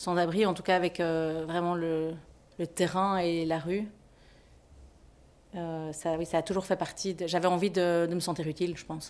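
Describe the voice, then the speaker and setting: A woman speaks at a moderate pace in a fairly low, monotone voice with flat intonation, leaving long, frequent pauses. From Belgium, Brussels (Ixelles). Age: 30s. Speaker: social worker. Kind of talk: interview testimony. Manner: hesitant, many fillers and restarts.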